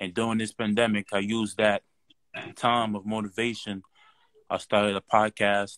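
A man speaks at a moderate pace and a fairly low pitch, with monotone, flat intonation and long, frequent pauses. The sound is dry, with no echo, over a quiet background. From Nigeria. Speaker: caller. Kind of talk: casual chat. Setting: video call. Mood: earnest, motivated. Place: home room. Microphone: video call.

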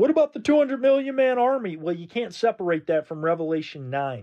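A man's voice with very wide pitch swings, set against a quiet background. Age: 20s. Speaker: online ministry host and Bible teacher; online ministry host, Bible teacher. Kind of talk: livestream religious discussion. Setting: live stream. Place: home room. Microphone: phone near.

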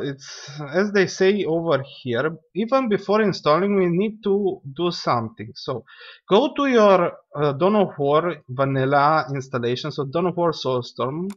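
A man with a non-native accent, high-pitched for a man, at a fairly slow pace with very wide pitch swings. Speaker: gaming YouTuber. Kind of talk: tutorial. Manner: casual, lots of fillers; rambling.

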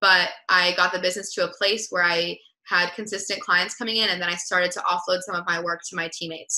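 A woman's bright, sharp voice at a medium pitch, fairly quick pace and fairly even intonation, over a quiet background. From US West Coast, Los Angeles. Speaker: entrepreneur; guest. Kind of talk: interview. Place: home room. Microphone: webcam.

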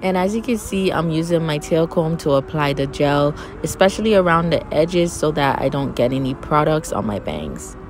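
A woman's very deep, low voice with ordinary pitch variation and hardly any pauses, dry with no echo, over clear music in the background. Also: moderate pace. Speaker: hair tutorial creator. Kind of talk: tutorial. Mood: relaxed, friendly. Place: home room. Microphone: phone near.

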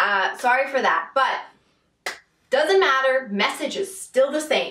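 A raised, projected voice comes at a very slow pace, with audible room echo and light background noise. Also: woman. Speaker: spiritual coach vlogger. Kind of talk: casual vlog chat. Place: home room. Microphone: camera far.

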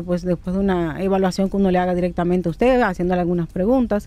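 Dark and mellow in tone, a woman's voice sits at a medium pitch. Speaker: rheumatologist. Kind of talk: radio interview, medical advice.

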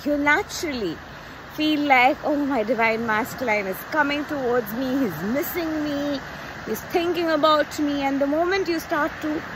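A woman speaks in a high pitch with ordinary pitch variation, her voice dry with no echo over noticeable background noise. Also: moderate pace. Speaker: coach. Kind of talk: casual vlog chat. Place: beach. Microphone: phone near.

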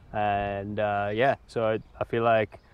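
Recorded dry with no echo, a man speaks at a fairly low pitch with monotone, flat intonation. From India. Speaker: mountain bike coach. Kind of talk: casual interview chat. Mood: relaxed, thoughtful. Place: open country.

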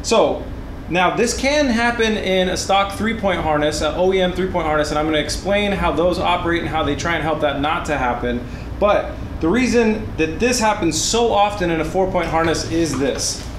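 A man with a high pitch talks at a moderate pace and ordinary pitch variation against noticeable background noise. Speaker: car build channel host. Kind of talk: tutorial. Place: garage.

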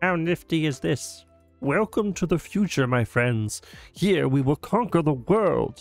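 A man puts on a character voice. Faint music can be heard in the background. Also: fairly high pitch for a man, fairly slow pace. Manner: funny, pompous, scheming.

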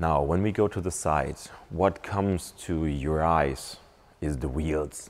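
The pitch rises and falls in an ordinary way. Delivery is very slow. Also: man. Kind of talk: walkaround commentary. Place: shop.

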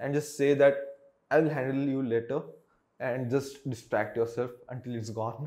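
A man's fairly high-pitched voice in a monotone, flat intonation, over a quiet background. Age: 20s. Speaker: vlogger. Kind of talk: unscripted personal monologue. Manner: halting, many fillers. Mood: candid, reflective, sometimes subdued. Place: home room. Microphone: lapel.

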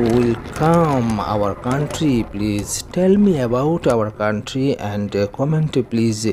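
The speaker talks at a very slow pace against noticeable background noise. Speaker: vlogger. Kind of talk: casual vlog chat. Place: motorbike.

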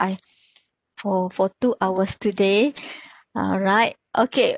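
In a Malaysian accent, a woman speaks at a very slow pace, the sound dry with no echo and the background quiet. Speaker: pathology lecturer. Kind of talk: lecture. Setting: video call. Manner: halting with many fillers. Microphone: webcam.

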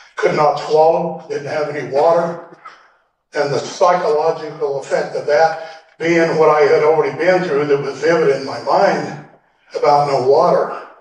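A man with an American accent speaks at a fairly high pitch and moderate pace, with monotone, flat intonation. There is audible room echo. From Oregon. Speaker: land patent teacher, Vietnam veteran. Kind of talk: lecture. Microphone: audio cleaned up, originally poor.

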